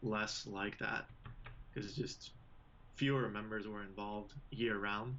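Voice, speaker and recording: A man speaks in a fairly low pitch with monotone, flat intonation and audible room echo. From Belgium. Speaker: drumline instructor. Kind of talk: casual interview.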